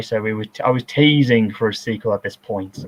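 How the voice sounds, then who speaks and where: Using an unremarkable speaking voice, a man talks at a fairly quick pace with ordinary pitch variation. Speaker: filmmaker giving director's commentary. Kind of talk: casual commentary chat.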